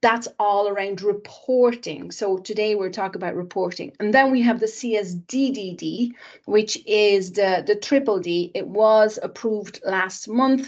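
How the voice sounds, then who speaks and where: With a plain, everyday voice, a woman speaks at a fairly slow pace and a medium pitch, with ordinary pitch variation. She takes hardly any pauses against a quiet background. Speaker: sustainability consultant. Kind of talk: webinar presentation.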